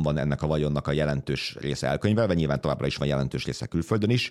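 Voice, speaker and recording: With a very deep, low voice and vocal fry, a man rattles along at a very fast pace with hardly any pauses, very even loudness and ordinary pitch variation. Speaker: political journalist, podcast host. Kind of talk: casual political discussion. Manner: informal, humorous.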